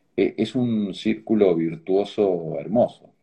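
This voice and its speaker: A normal speaking voice from a man, fairly low in pitch with ordinary pitch variation. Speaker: organ donation advocate, tech entrepreneur. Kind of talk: interview. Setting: video call. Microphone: choppy connection.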